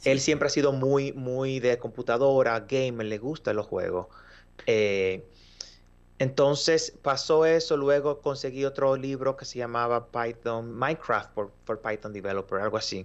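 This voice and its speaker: Fairly slow delivery in a normal speaking voice, the pitch varying in an ordinary way. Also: man, medium pitch for a man. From Dominican Republic. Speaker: mobile software developer. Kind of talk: casual interview.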